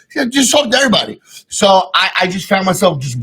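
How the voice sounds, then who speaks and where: At a fairly quick pace, a man talks with a bright, sharp tone. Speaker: podcast host. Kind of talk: casual chat. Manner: boisterous.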